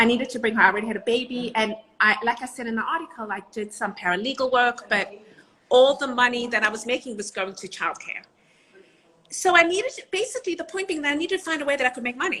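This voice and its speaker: Speaking with a South African accent, a woman goes at a very fast pace. Her pitch is high and her intonation lively. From South Africa and Israel. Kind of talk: interview.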